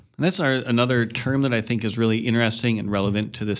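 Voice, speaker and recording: A man speaks with an Upper Midwest accent and fairly even intonation. The recording is very clean, with a silent background. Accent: Upper Midwest American. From Madison, Wisconsin. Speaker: farmer. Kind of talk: radio interview.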